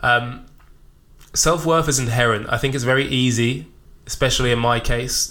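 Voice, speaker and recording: With fairly even intonation, the voice has a bright, sharp tone. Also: man. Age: 20s. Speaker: podcast host and personal trainer. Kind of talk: solo reflective monologue. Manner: spontaneous, unscripted.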